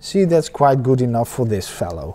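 A man with a Dutch accent speaks in a dark, mellow tone. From Netherlands. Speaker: painting teacher. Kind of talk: tutorial. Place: workshop.

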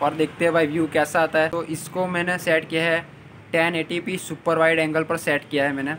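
A man speaks at a moderate pace in a flat monotone, with noticeable noise in the background. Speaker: moto vlogger. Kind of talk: casual vlog chat. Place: street. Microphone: phone near.

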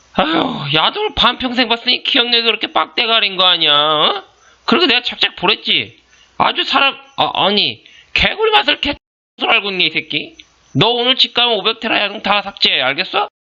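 This put-on character voice sits at a fairly high pitch and moves at a fairly quick pace. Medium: dub. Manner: contemptuous, bossy, swearing.

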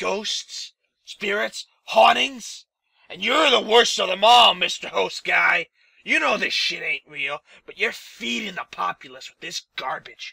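Speaking at a fairly slow pace, a man with a high-pitched voice sounds dry and close, with no echo. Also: big swings in loudness. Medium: audio drama. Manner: aggressive, sneering, profane.

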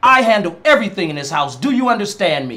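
At a fairly quick pace, a man uses a raised, projected voice with a bright, sharp tone and very wide pitch swings. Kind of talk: scripted drama dialogue. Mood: stern, authoritative. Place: home room.

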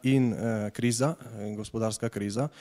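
Here a man speaks with fairly even intonation. The background is quiet. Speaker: public guest. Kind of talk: public talk introduction. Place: hall. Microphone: handheld.

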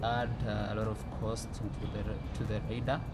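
Loud background noise surrounds a man who talks at a fairly slow pace. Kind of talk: interview answer. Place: street.

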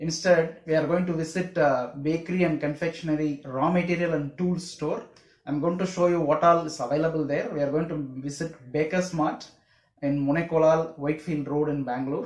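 Against a quiet background, a man speaks at a fairly quick pace with fairly even intonation and audible room echo. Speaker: home baking channel host. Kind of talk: casual vlog intro. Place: home room.

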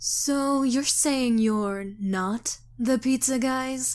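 A female-sounding voice performs a put-on character voice at a high pitch. The delivery moves at a very slow pace. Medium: dub.

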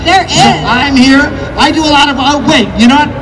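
A man is talking fairly quickly. Behind him, music can be heard. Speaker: event co-host. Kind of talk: stage emcee address to crowd. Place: stadium. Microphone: pa.

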